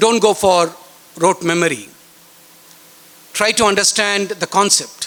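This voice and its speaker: With a Bengali accent, a man speaks with ordinary pitch variation over noticeable background noise. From India, West Bengal. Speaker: chief guest speaker at school science fair. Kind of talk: speech to students.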